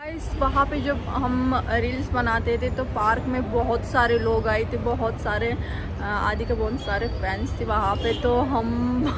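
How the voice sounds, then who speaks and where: Background noise is noticeable throughout. The words come out fairly slowly. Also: woman. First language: not Hindi (speaking Hindi). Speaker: vlogger / social media creator; vlogger, social media creator. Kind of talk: casual vlog chat. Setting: outdoors, park / public place. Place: street. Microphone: phone near.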